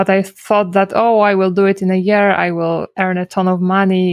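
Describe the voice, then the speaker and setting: Over a quiet background, a woman with a Polish accent speaks at a moderate pace in a medium pitch with monotone, flat intonation, the sound dry and close with no echo. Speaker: SEO consultant. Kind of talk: casual interview.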